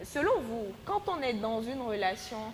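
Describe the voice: A woman with a fairly high pitch speaks at a moderate pace, her voice moving through big pitch swings.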